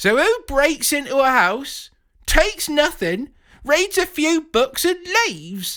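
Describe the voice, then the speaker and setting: Putting on a shrill character voice, a man speaks at an extremely high pitch and a fairly slow pace. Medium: read story. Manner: fretful and shrill.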